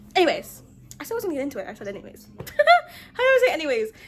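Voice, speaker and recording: With music playing behind her, a woman talks at a fairly quick pace in an American accent. Her extremely high voice moves through very wide pitch swings. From US mid-Atlantic (DC/Maryland/Virginia area). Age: 20s. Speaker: vlogger. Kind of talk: casual vlog. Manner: fast; stutters.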